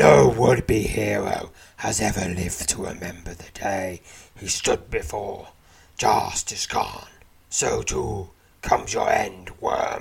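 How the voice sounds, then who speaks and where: Growling and raspy, a man uses a put-on character voice at a fairly low pitch and fairly slow pace, with big swings in loudness. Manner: snarling, menacing.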